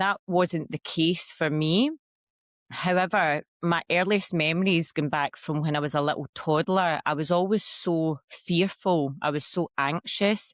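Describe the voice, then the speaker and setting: Speaking fairly slowly in a Scottish accent, a woman with a fairly low pitch keeps her intonation fairly even, the sound dry and close with no echo. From Scotland. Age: 40s. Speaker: ayahuasca practitioner. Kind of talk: interview testimony. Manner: hesitant, many fillers.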